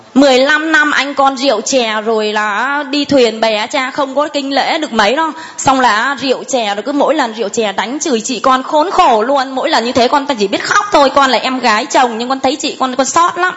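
A woman speaks high in her range at a moderate pace with hardly any pauses and ordinary pitch variation, over noticeable background noise. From Thai Binh, northern Vietnam. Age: 40s. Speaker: parishioner giving testimony. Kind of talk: testimony.

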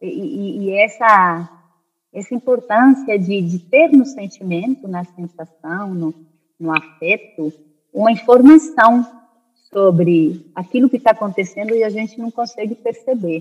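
Recorded dry and close with no echo, a woman speaks at a fairly slow pace in a fairly high, somewhat breathy voice, with lively intonation and big swings in loudness. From Spain (born in Brazil). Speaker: anthropologist and spiritualist. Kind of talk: interview conversation.

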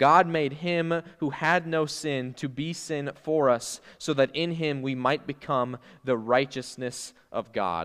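Against a quiet background, a man with a fairly high pitch talks at a very slow pace with hardly any pauses. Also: ordinary pitch variation. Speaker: youth pastor. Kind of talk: sermon. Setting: church. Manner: loud talker.

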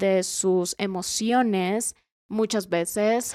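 A woman with a dark, mellow tone and medium pitch speaks with fairly even intonation in a dry, close sound with no echo, on a very clean recording with a silent background. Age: 20s. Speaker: podcast co-host. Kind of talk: casual chat.

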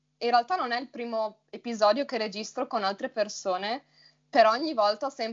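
Her fairly high voice varies in pitch in an ordinary way as this woman speaks. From Friuli Venezia Giulia, Italy. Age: 20s. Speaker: Italian teacher, podcast co-host. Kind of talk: casual conversation.

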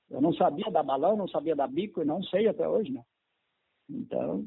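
A man speaks at a fairly quick pace in a high voice. His pitch swings very widely. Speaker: former footballer and coach. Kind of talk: interview.

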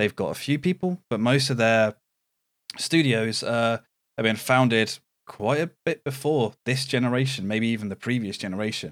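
A man speaks with a British accent at a medium pitch. The sound is dry and close, with no echo. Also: ordinary pitch variation, moderate pace. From Britain. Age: 30s. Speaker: gaming podcast co-host. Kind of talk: casual chat.

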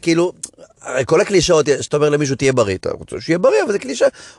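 An animated man speaks at a very fast pace, his voice dry and close with no echo, over noticeable background noise. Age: 40s. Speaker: comedian. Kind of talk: casual chat.

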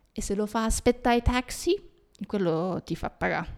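A woman speaking at a fairly quick pace. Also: dry, close sound with no echo. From Japan. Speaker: podcast host. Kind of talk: casual chat. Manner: halting.

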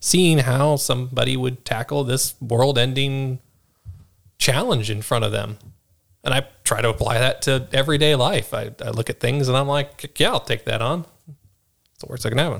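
At a moderate pace and medium pitch, a man speaks in a plain, everyday voice with ordinary pitch variation on a very clean recording with a silent background. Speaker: new podcast co-host. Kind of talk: casual conversational podcast chat. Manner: relaxed, casual.

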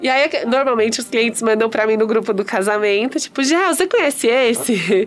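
With music in the background, a woman at fairly high pitch speaks in an animated tone at a moderate pace, using ordinary pitch variation and hardly any pauses. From Espírito Santo, Brazil. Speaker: podcast host. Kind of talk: casual interview chat. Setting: studio with cameras. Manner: animated, laughing often.

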